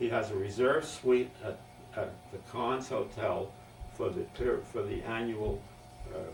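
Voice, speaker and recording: A man speaking at a fairly slow pace, with long, frequent pauses and music in the background. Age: 80s+. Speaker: family elder recording memoirs. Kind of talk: oral history interview. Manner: halting.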